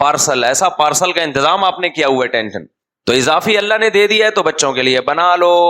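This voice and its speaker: Fairly high male voice with very even loudness, an animated, bright, sharp tone and lively intonation. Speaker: Islamic scholar giving a sermon. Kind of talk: religious sermon (bayan). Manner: conversational, humorous, animated.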